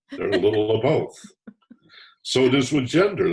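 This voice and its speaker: Somewhat breathy, a man talks at a fairly quick pace with a fairly high pitch. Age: 70s. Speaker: author and former talk radio host. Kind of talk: interview. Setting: podcast interview.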